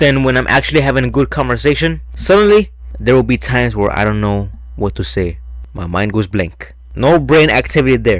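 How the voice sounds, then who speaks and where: A man with a very deep, low voice talks at a fairly quick pace, his pitch swinging very widely over noticeable background noise. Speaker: youtuber, grocery store worker. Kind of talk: personal vlog narration, scripted voiceover. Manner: naturally quiet, trying to be louder; casual, slangy.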